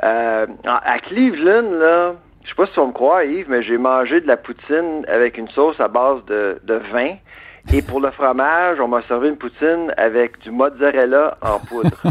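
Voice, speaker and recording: With a Quebec accent, a man talks at a fairly slow pace. His voice has a fairly high pitch. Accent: Québécois. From Quebec, Eastern Townships (Bois-Francs). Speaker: food industry researcher and author. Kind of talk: radio interview. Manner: animated, laughs often.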